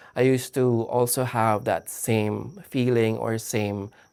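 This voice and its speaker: This man speaks at a medium pitch. His intonation is monotone and flat. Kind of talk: casual video diary to camera.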